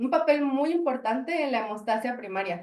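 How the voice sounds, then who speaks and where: Audible room echo carries a woman's voice with lively intonation. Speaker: pediatric hematologist lecturer. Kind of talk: lecture. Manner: fast.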